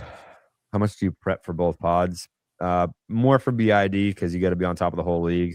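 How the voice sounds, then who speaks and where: A man with an American accent speaks at a very deep, low pitch with fairly even intonation. The sound is dry and close with no echo, on a very clean recording with a silent background. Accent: Boston accent, mostly dropped. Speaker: sports podcast host. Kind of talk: casual live-stream chat. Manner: casual, filler-heavy.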